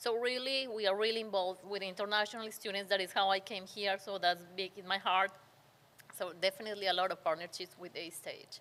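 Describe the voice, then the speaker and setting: A woman with a non-native accent, medium pitch, a bright, sharp tone and a fairly quick pace. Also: fairly even intonation. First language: Spanish. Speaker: nonprofit community center leader. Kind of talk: interview.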